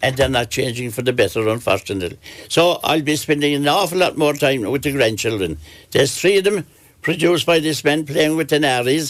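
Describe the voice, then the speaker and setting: A man with a Kerry accent and a fairly high pitch speaks at a fairly quick pace, varying his pitch in an ordinary way. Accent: Kerry Irish. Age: 70s. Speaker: retired publican. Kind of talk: radio interview. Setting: studio.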